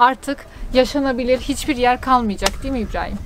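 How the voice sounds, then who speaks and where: A woman's high-pitched voice, monotone and flat in intonation, with a dry sound and no echo. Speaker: travel vlogger. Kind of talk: casual vlog chat. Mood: upset, appealing about litter. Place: open country. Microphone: phone near.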